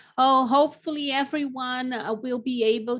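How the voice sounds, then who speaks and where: A woman with a non-native accent, fairly slow and fairly even in intonation, against a quiet background. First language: not English. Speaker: lactation consultant. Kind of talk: interview. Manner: halting, many fillers.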